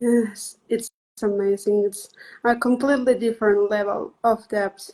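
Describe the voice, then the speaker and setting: A woman in a Spanish accent, fairly high-pitched and fairly slow, her tone dark and mellow and her intonation monotone and flat. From northwest Spain. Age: 20s. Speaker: poet. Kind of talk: reading aloud; interview.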